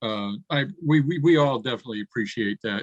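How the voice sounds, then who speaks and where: Speaking at a moderate pace, the man uses a normal speaking voice pitched fairly high, and his pitch varies in an ordinary way. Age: 60s. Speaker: online event moderator. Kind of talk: casual chat.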